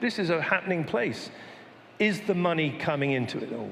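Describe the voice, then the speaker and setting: There is audible room echo and noticeable background noise. A man speaks at a fairly quick pace. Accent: British. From Britain. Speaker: panel moderator. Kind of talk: panel discussion. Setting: stage with audience.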